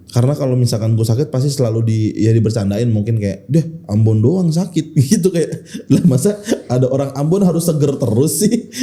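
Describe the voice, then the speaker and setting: In a strong Jakarta accent, a man speaks at a fairly quick pace, his medium pitch moving with lively intonation. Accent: strong Betawi Jakarta speech. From Jakarta, Indonesia (Betawi). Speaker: stand-up comedian. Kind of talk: casual podcast interview.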